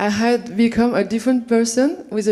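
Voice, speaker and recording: A woman's fairly high, dark and mellow voice with a French accent, fairly even intonation and a fairly slow pace. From France. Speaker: visual artist. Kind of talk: reading a prepared talk at an event. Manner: halting, with many fillers and restarts.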